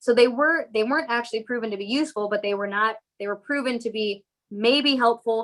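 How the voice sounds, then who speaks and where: A woman speaks at a fairly quick pace and fairly high pitch, with ordinary pitch variation. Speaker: physician, breast cancer specialist. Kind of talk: medical lecture. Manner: fast.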